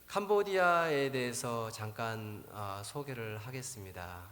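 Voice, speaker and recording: A man speaks very slowly with ordinary pitch variation. There's audible room echo and noticeable background noise. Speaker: missionary pastor. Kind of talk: sermon. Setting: church.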